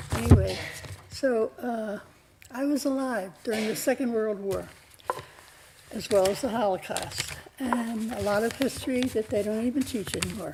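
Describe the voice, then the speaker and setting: A woman mumbles at a fairly high pitch and a moderate pace, with ordinary pitch variation. Long, frequent pauses break up her speech over noticeable background noise. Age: 90s. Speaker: public commenter. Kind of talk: public comment speech. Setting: city council meeting. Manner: mumbling; emotional.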